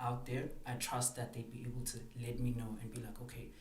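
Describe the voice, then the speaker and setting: A man with a medium-pitched voice talks at a fairly quick pace against noticeable background noise. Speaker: spoken word poet. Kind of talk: podcast interview answer. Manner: hesitant, casual.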